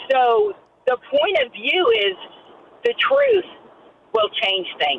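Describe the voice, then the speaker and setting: A woman talking very slowly over noticeable background noise. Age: 50s. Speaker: caller. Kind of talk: personal testimony.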